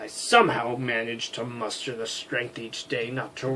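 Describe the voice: This is plain reading aloud. The text is read straight through.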